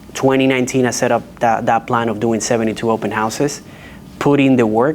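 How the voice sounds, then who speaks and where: A man with a strong Dominican accent speaks at a medium pitch and a moderate pace. His intonation is monotone and flat, with noticeable background noise. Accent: heavy Dominican Spanish. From Dominican Republic. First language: Spanish. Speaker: real estate agent. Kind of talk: panel discussion. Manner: halting, with restarts.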